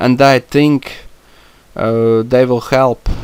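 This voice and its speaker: A man with a non-native accent. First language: not English. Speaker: YouTuber discussing comic book films. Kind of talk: solo podcast monologue. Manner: halting, many fillers. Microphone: non-professional mic, poor sound.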